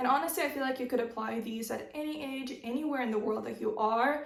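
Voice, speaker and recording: Very fast speech with ordinary pitch variation comes through noticeable background noise and audible room echo. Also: woman. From Russia (Moscow), teen years in Arizona, US. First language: Russian. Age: 20s. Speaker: lifestyle YouTuber. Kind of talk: advice vlog. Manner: casual, conversational.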